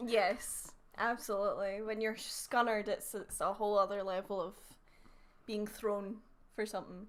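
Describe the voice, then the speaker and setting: Speaking at a moderate pace with long, frequent pauses, a woman with a Scottish accent uses a fairly high, monotone voice with flat intonation. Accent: soft Scottish, often taken for Canadian. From Scotland, countryside village. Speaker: streamer. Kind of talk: casual chat.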